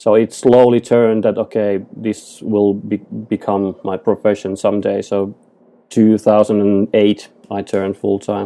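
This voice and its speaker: A man speaks with a Finnish accent at a fairly slow pace, his fairly low voice monotone and flat. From Finland. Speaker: photographer and digital artist. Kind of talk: podcast interview. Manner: halting.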